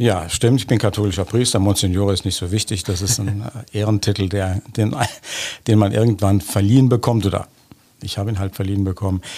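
A man's fairly low voice with a dark, mellow tone and fairly even intonation. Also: fairly quick pace. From Germany, Bonn area. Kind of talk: interview. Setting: studio.

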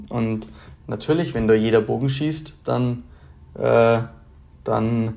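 With a Bavarian accent, a man speaks very slowly in a dark, mellow tone at a medium pitch. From Bavaria, Germany. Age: 20s. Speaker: competitive archer and engineering student. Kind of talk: interview. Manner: hesitant, many filler sounds.

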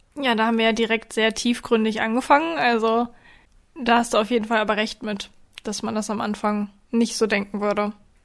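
A woman in a normal speaking voice talks at a fairly quick pace, her fairly high pitch carrying fairly even intonation, on a very clean recording with a silent background. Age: 20s. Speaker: dog trainer and podcast host. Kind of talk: casual chat.

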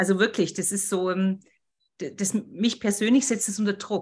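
The woman's voice comes across somewhat breathy. Her pitch is in the medium range. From Bavaria, Berchtesgaden. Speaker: podcast host. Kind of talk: casual interview.

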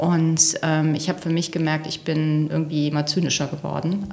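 Noticeable background noise behind a woman's very deep, low voice, moderate in pace and monotone, flat in intonation. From Rhineland, Velbert near the Ruhr. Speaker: engineer and executive. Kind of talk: interview.

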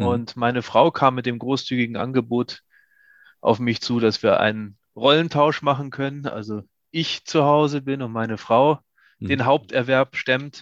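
A man speaks in an ordinary speaking voice at medium pitch and a moderate pace, with fairly even intonation. The sound is dry and close with no echo, over a quiet background. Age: 50s. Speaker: company founder. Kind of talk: interview.

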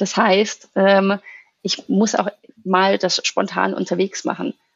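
A woman at a fairly slow pace. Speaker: English and strengths coach. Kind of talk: casual interview.

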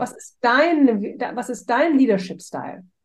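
A woman speaks with a high pitch at a fairly slow pace. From Hamburg, Germany. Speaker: strengths coach. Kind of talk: casual interview.

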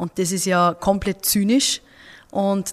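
A woman with an Upper Austrian accent at a medium pitch. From Upper Austria, Mühlviertel. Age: 20s. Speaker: politician. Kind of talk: interview. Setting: office.

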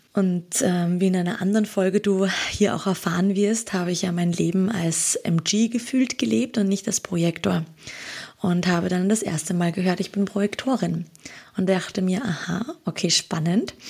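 Noticeable background noise sits under the voice. The delivery has a moderate pace and ordinary pitch variation. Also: woman, medium pitch for a woman. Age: 30s. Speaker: holistic coach. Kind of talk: casual interview.

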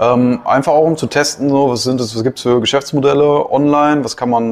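Using an ordinary speaking voice, a man with a fairly high pitch talks at a moderate pace with fairly even intonation. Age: 20s. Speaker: business consultant. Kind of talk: casual chat.

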